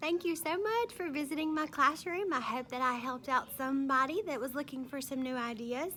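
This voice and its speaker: A woman with a Mississippi accent speaks in a raised, projected voice at a high pitch. She moves at a fairly quick pace with lively intonation and hardly any pauses. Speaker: kindergarten teacher. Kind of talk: classroom tour video. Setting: classroom. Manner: casual, conversational.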